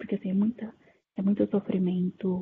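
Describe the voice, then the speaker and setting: A woman speaks at a medium pitch. Her pace is moderate and her intonation fairly even. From interior of São Paulo, Brazil. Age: 20s. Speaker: discussion moderator. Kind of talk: casual panel discussion. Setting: online video call.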